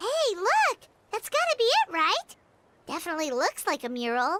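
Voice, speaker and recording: Squeaky and extremely high in pitch, a put-on character voice moves at a moderate pace with very wide pitch swings. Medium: video game. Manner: chatty, upbeat.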